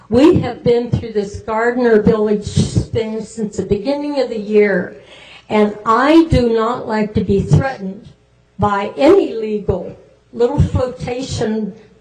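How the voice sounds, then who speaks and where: Here a woman talks at a very slow pace. Room echo is audible, along with noticeable background noise. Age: 80s+. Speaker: resident making public comment. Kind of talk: public comment at council meeting.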